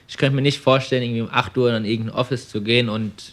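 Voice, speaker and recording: On a very clean recording with a silent background, a man with a medium pitch talks at a very fast pace in a fairly even intonation. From Germany, Frankfurt am Main. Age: 20s. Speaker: young entrepreneur, car dealer. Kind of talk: interview. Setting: showroom.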